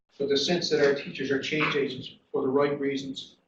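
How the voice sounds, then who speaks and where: Talking at a very fast pace, a man has a Newfoundland accent. His voice is fairly high. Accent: Newfoundland Canadian English. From Newfoundland, Canada (Corner Brook). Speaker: dean of education. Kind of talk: conference panel talk. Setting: conference panel with audience. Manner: halting, many fillers and repeats.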